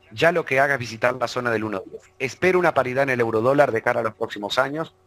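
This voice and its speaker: Very fast speech comes from a man at a medium pitch with ordinary pitch variation. The sound is dry and close with no echo, though background noise is noticeable. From Uruguay. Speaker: financial market analyst. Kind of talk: online webinar presentation. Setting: live online broadcast.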